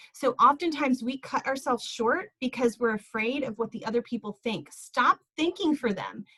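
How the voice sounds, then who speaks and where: In a dry, close recording with no echo, a woman speaks in a raised, projected voice at a moderate pace, her tone animated, bright and sharp. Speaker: essential oils business leader. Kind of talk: motivational group talk. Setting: video call. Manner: loud.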